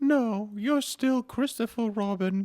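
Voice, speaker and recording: Recorded very cleanly against a silent background, a put-on character voice goes at a fairly slow pace with a fairly high pitch. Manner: warm, gentle.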